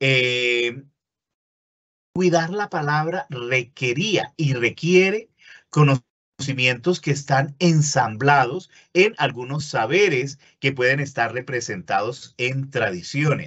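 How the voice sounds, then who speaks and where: Against a quiet background, a man with a fairly high voice talks at a very slow pace. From Colombia, Caribbean coast. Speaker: university lecturer. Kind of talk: webinar lecture. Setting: online webinar. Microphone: webcam.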